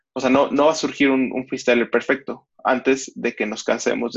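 Speaking at a moderate pace, a man talks with a Mexican accent. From Mexico. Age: 20s. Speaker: twitter commentator on freestyle rap. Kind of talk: casual interview.

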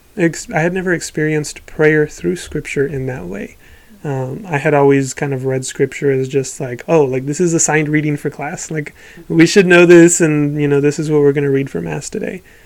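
Speaking at a moderate pace, a man uses an ordinary speaking voice with a fairly high pitch and ordinary pitch variation. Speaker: podcast co-host. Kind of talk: casual chat.

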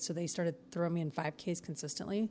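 With an American accent, a woman talks in an unremarkable speaking voice at a medium pitch with ordinary pitch variation. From Detroit, US Midwest. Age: 30s. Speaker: podcast co-host. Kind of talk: casual chat. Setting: studio.

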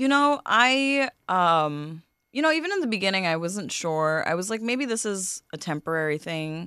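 A woman with a New York accent, a bright, sharp tone, very wide pitch swings and a moderate pace, in a very clean recording with a silent background. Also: medium pitch for a woman. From New York (Queens, Flushing). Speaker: comedian. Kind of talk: casual chat.

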